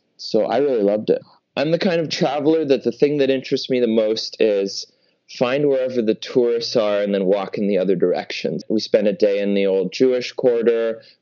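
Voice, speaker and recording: With an unremarkable speaking voice, a man moves along rather quickly, his pitch varying in a normal way. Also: medium pitch for a man. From Canada (Toronto). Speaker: artist and performer. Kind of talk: interview.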